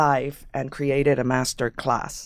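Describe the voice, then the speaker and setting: With a Puerto Rican accent, the speaker talks at a moderate pace in a monotone, flat intonation on a very clean recording with a silent background. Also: woman. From Puerto Rico. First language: Spanish. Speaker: actor and playwright. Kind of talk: interview conversation.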